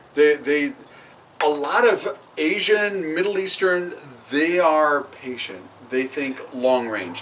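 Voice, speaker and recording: A man with an American accent, a fairly high pitch and lively intonation, speaking at a very slow pace with long, frequent pauses over noticeable background noise. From Oregon, US. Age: 50s. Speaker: podcast co-host. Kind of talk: casual chat.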